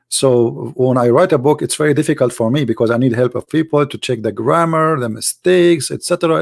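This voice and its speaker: On a very clean recording with a silent background and a dry, close sound with no echo, a man with an Arabic accent speaks at medium pitch and a moderate pace with lively intonation. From Middle East. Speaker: religious debater and apologist. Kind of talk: live stream talk to audience. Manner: halting, with fillers.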